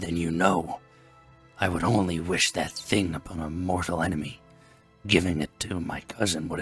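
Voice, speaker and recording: Someone uses a put-on character voice at a moderate pace. Faint music plays in the background. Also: man, very deep, low pitch for a man. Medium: read story. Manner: gruff, snappish.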